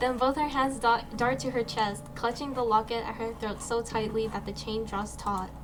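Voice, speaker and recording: A woman with a fairly high pitch talks at a moderate pace in fairly even intonation, with audible room echo and noticeable background noise. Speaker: streamer. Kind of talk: let's play commentary with reading aloud.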